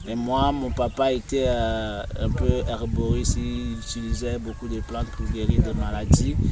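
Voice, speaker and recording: Someone talks at a very slow pace in a Togolese accent, with audible room echo. Music plays in the background. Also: man. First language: Moba (speaking French). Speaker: tour guide. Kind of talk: interview answer.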